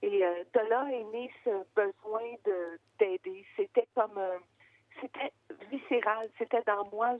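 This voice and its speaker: Very slowly, a woman talks in a Quebec accent. Her pitch is fairly high, with ordinary pitch variation. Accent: Québécois French. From Quebec, Gaspésie roots. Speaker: founder of children's radio project. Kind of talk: interview. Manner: hesitant, many fillers.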